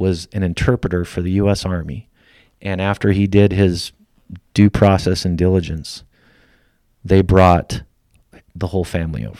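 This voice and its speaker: A man with an American accent speaks at a moderate pace in a fairly low pitch. His tone is dark and mellow, and the recording is very clean with a silent background. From Idaho, US. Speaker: company founder and military veteran. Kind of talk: casual interview conversation.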